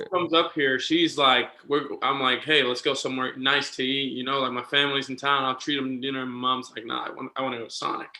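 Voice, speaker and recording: Hardly pausing, a man of medium pitch rushes along at a very fast pace in a monotone, flat intonation with a slight Puerto Rican accent, over noticeable background noise. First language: Spanish. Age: 20s. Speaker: minor league baseball manager. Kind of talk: casual chat.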